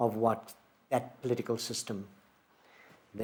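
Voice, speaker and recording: Speaking at a fairly quick pace, a man with a South African accent keeps a medium pitch and fairly even intonation. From Port Elizabeth, South Africa. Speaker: playwright. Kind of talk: interview answer. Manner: reflective, hesitant.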